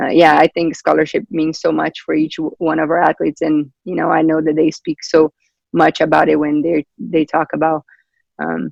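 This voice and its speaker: A man speaks at a moderate pace with a Brazilian accent. The sound is dry and close, with no echo. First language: Portuguese. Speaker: volleyball coach. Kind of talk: interview. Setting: video call. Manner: halting.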